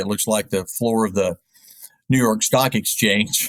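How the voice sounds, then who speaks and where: A man with an American accent speaks at a fairly slow pace in a normal speaking voice at medium pitch. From US South, East Tennessee (Knoxville). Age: 60s. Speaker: sports radio play-by-play announcer. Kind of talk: interview.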